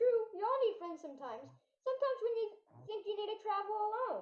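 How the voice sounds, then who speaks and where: An extremely high, squeaky put-on character voice at a very fast pace with slight echo. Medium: stage play. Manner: formal, polite.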